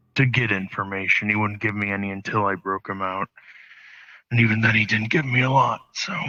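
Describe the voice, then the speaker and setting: Putting on a character voice, a man talks fairly quickly in a raspy, fairly low voice with fairly even intonation. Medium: actual play. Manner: hesitant, halting.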